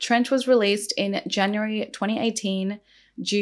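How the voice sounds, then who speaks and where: A woman speaks in a shaky voice. The recording is very clean, with a silent background. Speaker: beauty and true crime youtuber. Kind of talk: true crime storytelling while doing makeup. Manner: animated, casual.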